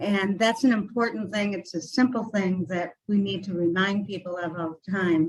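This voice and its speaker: Somewhat breathy, a woman speaks at medium pitch and a moderate pace with fairly even intonation. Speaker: mental health support group speaker. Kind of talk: presentation at a community meeting. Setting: meeting room with microphone. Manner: soft-spoken.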